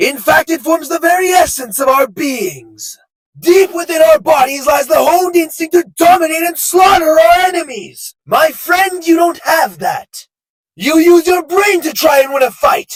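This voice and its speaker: Shouting in a cartoonish character voice, a man hits an extremely high pitch at a moderate pace. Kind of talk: anime dub character impression.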